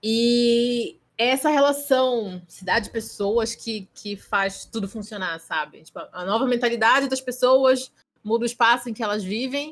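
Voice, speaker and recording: In a plain, everyday voice, a woman with a fairly high pitch speaks fairly slowly with hardly any pauses, ordinary pitch variation and big swings in loudness. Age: 20s. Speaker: architect and anime event presenter. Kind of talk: casual chat. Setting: video call.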